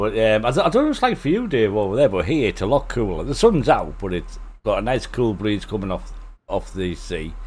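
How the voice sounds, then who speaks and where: A man speaks with a Teesside accent. His pace is fairly quick. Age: 60s. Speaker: flight sim streamer. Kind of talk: casual chat.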